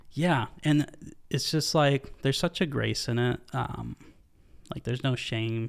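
A man with a normal speaking voice, medium in pitch with ordinary variation, is heard in a very clean recording with a silent background. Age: 20s. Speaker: church staff member, podcast guest. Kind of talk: casual chat.

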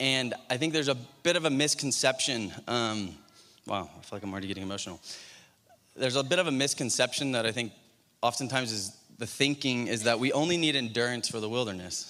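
A man talks at a very fast pace with a bright, sharp tone. His pitch is medium, with ordinary variation. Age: 30s. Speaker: preacher. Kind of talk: sermon.

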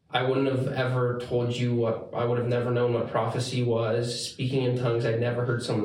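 A man speaks at a medium pitch and a fairly quick pace, his intonation monotone and flat. Noticeable background noise is present. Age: 20s. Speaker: church elder. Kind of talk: casual interview. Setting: studio room recorded on phone camera.

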